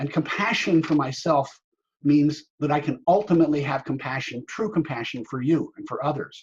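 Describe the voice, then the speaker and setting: Somewhat breathy, a man with a fairly high pitch speaks at a moderate pace. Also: ordinary pitch variation. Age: 70s. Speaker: workshop facilitator. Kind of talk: webinar talk.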